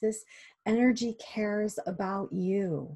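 A woman speaks softly in a somewhat breathy voice with a dark, mellow, gentle and warm tone over a quiet background. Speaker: hypnosis guide leading a meditation. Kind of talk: guided meditation and self-hypnosis session. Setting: online video session. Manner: gentle, warm, reassuring. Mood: calm, soothing, slow. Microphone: webcam.

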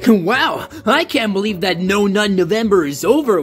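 Clear background noise sits behind a man doing a put-on character voice at a high pitch and a moderate pace.

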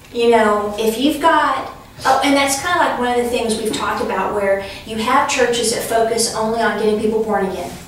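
A woman speaks at a moderate pace with ordinary pitch variation. There is strong room echo and light background noise. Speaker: class teacher. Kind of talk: lecture. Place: classroom. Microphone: camera far.

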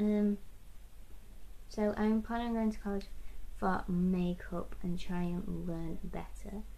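A woman is talking. Her intonation stays fairly even. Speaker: makeup vlogger. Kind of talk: casual talk to camera. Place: home room. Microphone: webcam.

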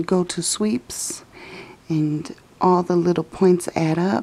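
A woman speaks in a fairly low pitch. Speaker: mom and lifestyle vlogger. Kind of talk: casual screen-recording tutorial. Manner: whispered. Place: home room. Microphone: phone near.

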